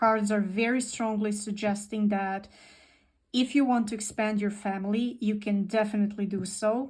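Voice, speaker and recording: A woman with a non-native accent speaks at a moderate pace in a fairly high, somewhat breathy voice. Her intonation is monotone and flat, on a very clean recording with a silent background. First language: not English. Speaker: tarot reader. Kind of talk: tarot reading. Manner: repetitive, hesitant.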